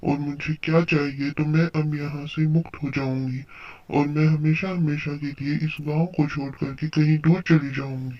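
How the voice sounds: Cartoonish character voice from a man, fairly high-pitched, monotone and flat, at a moderate pace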